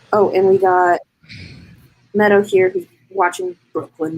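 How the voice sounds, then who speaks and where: Here a woman speaks at a medium pitch. Her pace is very slow. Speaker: livestreamer hosting writing sprint. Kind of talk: casual chat. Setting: live stream, at night. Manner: loud.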